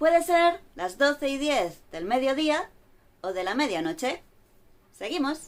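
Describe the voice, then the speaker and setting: A woman's high-pitched voice at a fairly slow pace, with very wide pitch swings and long, frequent pauses. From Spain. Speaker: Spanish teacher. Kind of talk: language lesson to camera.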